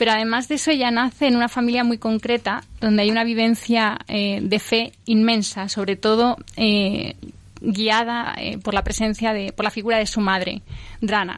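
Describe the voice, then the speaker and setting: Her pitch fairly high, a woman speaks at a moderate pace with very even loudness and monotone, flat intonation. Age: 40s. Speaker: exhibition guide and author. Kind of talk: radio interview.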